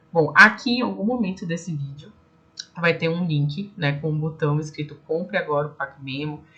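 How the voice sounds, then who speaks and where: Audible room echo surrounds a woman whose voice is very deep and low in pitch. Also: lively intonation, moderate pace. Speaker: speech therapist and online course teacher. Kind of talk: online lecture ending in a sales pitch.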